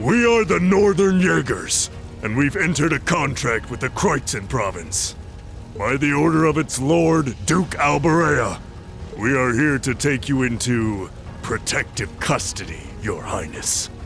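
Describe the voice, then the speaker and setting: Using a put-on character voice, a man speaks at a fairly high pitch and moderate pace amid clear background noise. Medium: video game. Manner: formal, cool.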